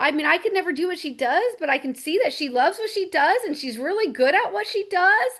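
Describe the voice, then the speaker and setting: A woman speaks loudly at a fairly quick pace, her pitch extremely high. Her tone is animated, with very wide pitch swings. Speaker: network marketing team leader. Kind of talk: casual chat.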